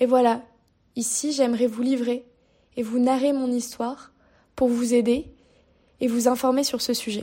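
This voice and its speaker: A woman's high voice, dark and mellow, in a flat monotone broken by long, frequent pauses, on a very clean recording with a silent background. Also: fairly slow pace. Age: 20s. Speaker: podcaster, university student. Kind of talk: personal monologue podcast. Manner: halting.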